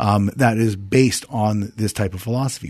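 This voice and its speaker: A man with an American accent at a very fast pace, fairly low in pitch, with fairly even intonation and a dark, mellow tone over a quiet background. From New Jersey. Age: 40s. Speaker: university founder. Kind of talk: interview.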